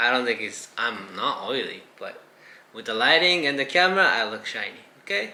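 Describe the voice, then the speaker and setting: Noticeable background noise surrounds a man with a Japanese accent whose fairly high pitch carries lively intonation at a moderate pace. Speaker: vlogger and fashion designer. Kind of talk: casual vlog chat.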